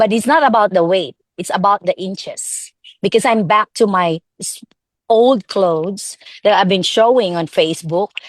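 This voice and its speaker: A woman speaks at a moderate pace in a medium pitch, with ordinary pitch variation. The sound is dry and close, with no echo. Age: 60s. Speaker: product distributor giving a testimonial. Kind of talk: testimony. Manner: animated; halting.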